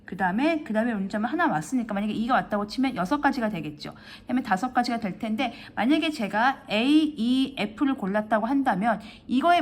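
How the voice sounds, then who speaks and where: A woman's fairly high voice, fairly quick in pace, with lively intonation. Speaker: math tutor. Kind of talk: tutorial. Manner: fast; halting.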